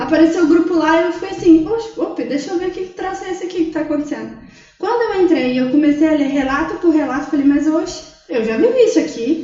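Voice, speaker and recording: In a room with audible echo, a woman talks at an extremely high pitch with ordinary pitch variation. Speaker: psychologist. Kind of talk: casual chat.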